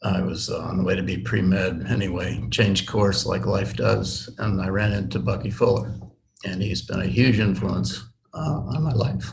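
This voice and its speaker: Through audible room echo, a man speaks at a moderate pace in a fairly low pitch, his pitch swinging very widely. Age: 70s. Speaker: tensegrity model builder. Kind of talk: casual chat. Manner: halting.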